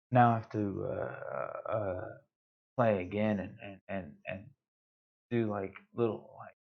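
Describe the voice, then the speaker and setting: A man at a very slow pace, fairly low in pitch, with fairly even intonation. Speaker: gaming streamer. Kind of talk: live stream gameplay commentary. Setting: live stream. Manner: halting, many fillers and repetitions.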